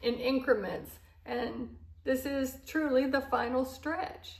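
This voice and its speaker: Her high voice moves at a very slow pace with fairly even intonation, and audible room echo surrounds the woman's speech. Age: 60s. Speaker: lifestyle vlogger. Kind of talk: casual monologue to camera. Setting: at home, in a new house. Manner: relaxed, with many fillers. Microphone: microphone still covered, echo in empty house.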